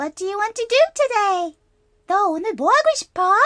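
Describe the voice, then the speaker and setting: Extremely high, squeaky put-on character voice, moving at a fairly quick pace. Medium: read story. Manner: bright, chirpy.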